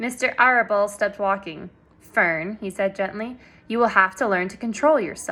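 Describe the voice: With ordinary pitch variation, the delivery is plain reading aloud.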